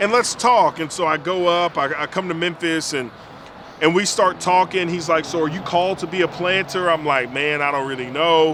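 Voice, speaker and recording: Noticeable background noise sits under a man with an American accent who speaks at a moderate pace in a high pitch. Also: ordinary pitch variation. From Alabama, US South. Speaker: pastor. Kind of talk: casual chat.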